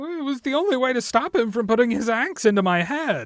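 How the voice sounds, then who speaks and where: A man in a put-on character voice, extremely high-pitched, with lively intonation and a fairly quick pace. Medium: audio drama. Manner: hesitant, stammering.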